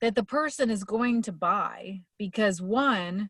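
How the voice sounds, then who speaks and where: Her pitch sits fairly high for a woman, with lively intonation and a somewhat breathy quality at a very slow pace. The sound is dry and close, with no echo. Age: 50s. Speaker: motivational coach. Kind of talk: casual talk.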